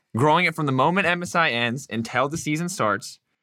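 A man speaks at a moderate pace with lively intonation and a fairly high pitch. His tone is bright and sharp, and the recording is very clean with a silent background. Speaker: esports podcast host. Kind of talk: casual chat.

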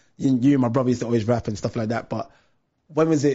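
A somewhat breathy man talks at a very fast pace. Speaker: podcast host. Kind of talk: casual interview chat. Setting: live online video stream.

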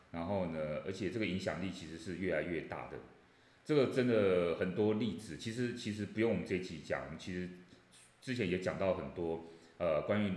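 A man speaks at a fairly quick pace in a very deep, low pitch with ordinary pitch variation. Room echo is audible. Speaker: professor. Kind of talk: casual chat.

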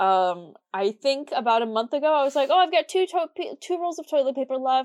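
In an American accent, a woman with a high pitch speaks in very wide pitch swings. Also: dry, close sound with no echo. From US Midwest. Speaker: podcast co-host. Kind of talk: casual chat.

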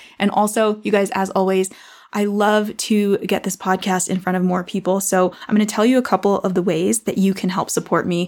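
The voice belongs to a woman with a medium pitch. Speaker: podcast host and online business coach. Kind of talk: solo podcast monologue about goal setting and mindset. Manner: fast talker; casual, conversational.

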